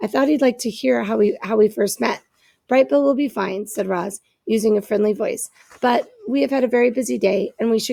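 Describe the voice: Against a quiet background, there is plain reading aloud.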